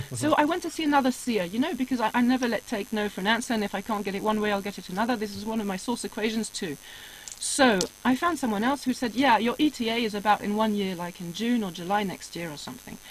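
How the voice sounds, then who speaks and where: A woman talks at a very fast pace in a fairly high pitch, her intonation lively. Noticeable background noise runs underneath. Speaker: spiritual guest telling life story. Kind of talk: casual interview chat.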